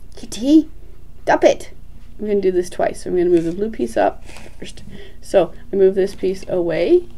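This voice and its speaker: A woman at a moderate pace, with long, frequent pauses and big swings in loudness. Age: 50s. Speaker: Rubik's cube streamer and teacher; puzzle tutor. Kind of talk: tutorial. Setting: live stream. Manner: soft-spoken; halting. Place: home room.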